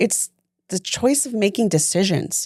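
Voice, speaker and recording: A woman with an ordinary speaking voice talks at a medium pitch on a very clean recording with a silent background. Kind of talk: casual podcast conversation.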